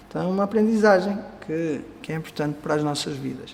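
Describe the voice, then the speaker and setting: A man with a fairly high pitch talks at a moderate pace with ordinary pitch variation, and audible room echo surrounds him. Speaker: Vedanta teacher. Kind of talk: lecture.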